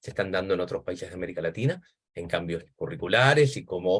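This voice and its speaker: A man speaks at a very fast pace, his voice somewhat breathy. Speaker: academic discussant, education historian. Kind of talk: academic seminar commentary.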